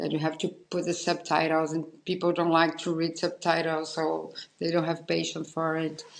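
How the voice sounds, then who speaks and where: A woman speaks with a Portuguese accent at a moderate pace. Her fairly low voice has monotone, flat intonation. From Brazil. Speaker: podcast host and painter. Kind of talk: interview conversation. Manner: halting.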